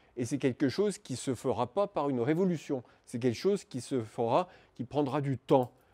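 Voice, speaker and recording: Speaking at a moderate pace, a man has a dark, mellow tone with ordinary pitch variation. The background is quiet. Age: old. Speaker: animal rights activist and speaker; conference speaker. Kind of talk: lecture. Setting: conference talk before an audience. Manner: halting, many hesitations and repetitions. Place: classroom. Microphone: lapel.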